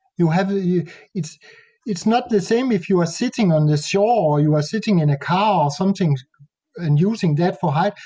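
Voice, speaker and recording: In a Danish accent, a man with a high pitch and a dark, mellow tone speaks at a moderate pace with ordinary pitch variation. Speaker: nature photographer. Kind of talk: interview conversation. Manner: halting.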